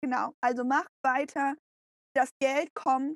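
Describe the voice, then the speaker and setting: The sound is dry and close with no echo as a woman speaks at a high pitch, with fairly even intonation and a fairly slow pace. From Canada. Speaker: podcast co-host. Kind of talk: casual chat.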